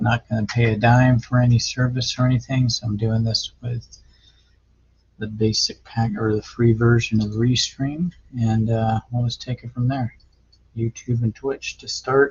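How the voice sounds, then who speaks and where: Mumbling and somewhat breathy, a man speaks at medium pitch and a moderate pace in a monotone, flat intonation. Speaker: amateur triathlete vlogger. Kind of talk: casual video log. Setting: home garage, talking to camera. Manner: hesitant, filler-heavy.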